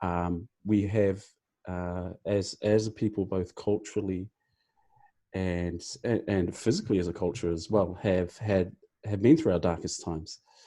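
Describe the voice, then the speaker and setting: In a quiet background, a man with a very deep, low pitch and a dark, mellow tone speaks at a moderate pace with fairly even intonation and long, frequent pauses. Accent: New Zealand. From New Zealand (Māori). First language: Māori. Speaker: team captain guest on podcast. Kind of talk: podcast discussion. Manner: halting, many fillers.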